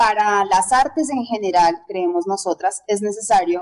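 Ordinary pitch variation marks this very slow delivery. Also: woman. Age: 30s. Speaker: belly dancer and dance teacher. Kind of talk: interview.

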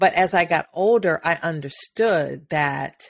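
Very slowly, a woman speaks with an American accent. Her pitch is fairly low, with ordinary variation. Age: 50s. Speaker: podcast host, women's empowerment speaker. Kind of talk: solo monologue, motivational talk. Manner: hesitant with frequent fillers.

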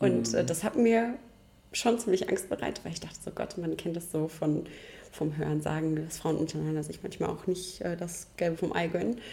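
A woman's fairly low, dark, mellow voice with vocal fry and lively intonation. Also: moderate pace. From rural Germany. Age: young. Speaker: chimney sweep master. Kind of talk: interview.

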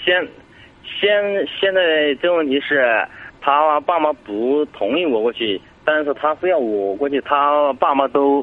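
This man talks very slowly at a fairly high pitch, his intonation lively and his loudness very even. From Sichuan, China. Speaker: caller seeking relationship advice. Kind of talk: phone-in advice call. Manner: halting, hesitant.

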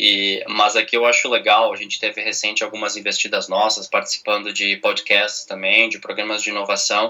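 Amid noticeable background noise, a man keeps a moderate pace with hardly any pauses. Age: 30s. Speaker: business director and corporate venture capital head. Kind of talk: interview.

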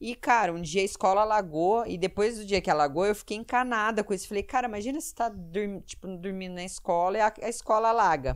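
On a very clean recording with a silent background, a woman speaks very fast with hardly any pauses. Her medium pitch has ordinary variation, and her loudness swings widely. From Curitiba, southern Brazil. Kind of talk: casual interview chat.

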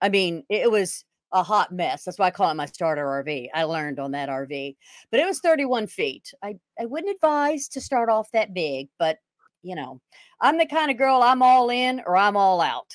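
With a Texan accent, a woman speaks at a medium pitch with very wide pitch swings. The recording is very clean, with a silent background and a dry, close sound with no echo. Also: moderate pace. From Texas. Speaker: retired police officer and RV club owner. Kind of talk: interview.

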